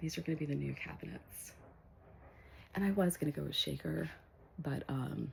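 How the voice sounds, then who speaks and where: A woman whispers at a moderate pace, leaving long, frequent pauses. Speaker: vlogger. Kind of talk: casual home tour vlog. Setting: at home. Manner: whispering; hesitant, many fillers.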